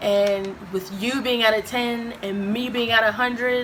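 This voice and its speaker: A woman at a fairly slow pace, with ordinary pitch variation, audible room echo, and noticeable background noise. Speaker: YouTuber. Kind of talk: casual chat. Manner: loud, boisterous.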